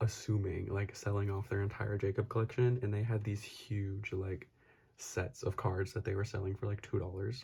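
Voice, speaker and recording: Soft-spoken and somewhat breathy, a man with an American accent talks fairly quickly in a fairly low, dark and mellow voice with monotone, flat intonation. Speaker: YouTuber and photocard collector. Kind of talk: casual haul vlog. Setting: at home late at night. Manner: soft-spoken, talking quietly.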